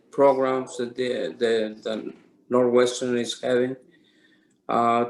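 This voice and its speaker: This man talks at a very slow pace and a medium pitch. His intonation is monotone and flat. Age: 60s. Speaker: Parkinson's patient sharing experience. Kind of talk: testimony with consecutive interpretation. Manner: halting.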